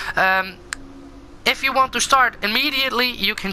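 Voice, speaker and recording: A Dutch accent against noticeable background noise. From Netherlands. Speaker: gaming YouTuber. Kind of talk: gameplay commentary. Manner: halting, many fillers.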